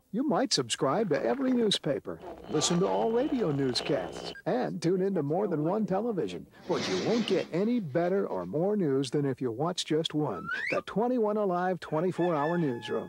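Over noticeable background noise, a man speaks in a high voice with very wide pitch swings. His loudness stays very even, and he keeps a moderate pace with hardly any pauses. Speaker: announcer. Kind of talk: TV station promo announcer read.

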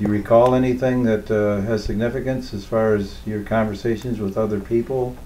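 A man talks at a fairly quick pace with hardly any pauses and monotone, flat intonation over light background noise. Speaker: interviewer. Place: home room.

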